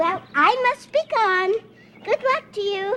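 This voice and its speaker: A female-sounding put-on character voice, squeaky and extremely high-pitched. The pace is fairly slow. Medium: short film.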